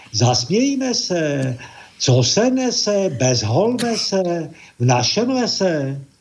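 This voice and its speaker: A man with a high pitch speaks at a very slow pace, his pitch swinging very widely. Noticeable background noise and audible room echo fill the recording. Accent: Czech. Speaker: caller. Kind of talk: casual chat.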